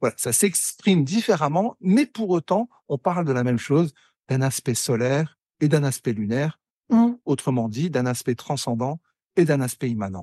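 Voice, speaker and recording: At a moderate pace, this voice swings very widely in pitch, captured dry and close with no echo against a quiet background. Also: man, fairly high pitch for a man. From northern France, Pas-de-Calais mining basin. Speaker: wood sculptor. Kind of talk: interview conversation. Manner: halting, many repetitions.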